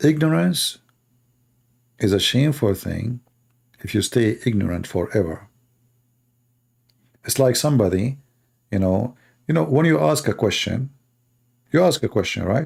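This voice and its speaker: A man with a medium pitch speaks at a moderate pace, his voice somewhat breathy and his pitch swinging very widely. He leaves long, frequent pauses, and the recording is very clean with a silent background. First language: not English. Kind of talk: casual talk to live audience. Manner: animated.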